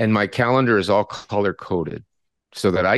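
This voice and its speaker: Against a quiet background, a man with a Canadian accent and an unremarkable speaking voice talks at a fairly quick pace in a fairly low pitch, the sound dry and close with no echo. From Canada. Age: 60s. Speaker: retired psychology professor. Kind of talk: interview conversation.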